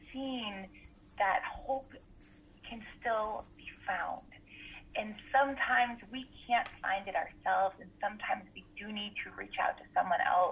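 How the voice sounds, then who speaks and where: Over noticeable background noise, a woman talks at a fairly slow pace with long, frequent pauses, her fairly high pitch moving in lively intonation amid big swings in loudness. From US Northeast, Rhode Island. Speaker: school counselor and wellness coach. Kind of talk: interview, personal testimony.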